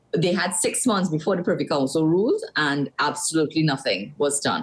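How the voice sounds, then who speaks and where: A woman's very deep, low voice at a fairly quick pace, ordinary pitch variation and very even loudness, over noticeable background noise. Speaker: opposition senator. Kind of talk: political interview. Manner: fast.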